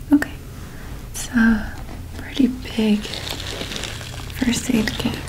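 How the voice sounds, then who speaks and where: Whispering in a gentle tone, a woman speaks at a very slow pace with long, frequent pauses. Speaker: ASMR creator. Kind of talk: ASMR roleplay, caring first aid scenario. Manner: soft-spoken, gentle, caring. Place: home room.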